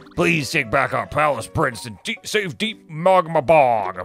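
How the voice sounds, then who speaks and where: A man puts on a character voice at a fairly high pitch. He moves at a fairly slow pace over faint music in the background. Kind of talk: let's play commentary reading game dialogue aloud. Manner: exaggerated.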